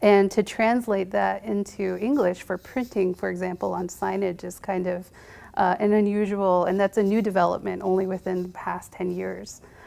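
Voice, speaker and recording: A woman with a Navajo Nation accent, medium pitch, and dark, mellow tone, at a moderate pace in a monotone, flat intonation. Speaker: medical provider, panelist. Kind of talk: panel discussion. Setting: university panel event with audience.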